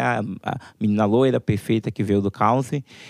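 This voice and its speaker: A man's fairly low-pitched, normal speaking voice at a moderate pace, with ordinary pitch variation and a dry, close sound with no echo on a very clean recording with a silent background. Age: 20s. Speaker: pop music website founder. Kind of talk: panel discussion.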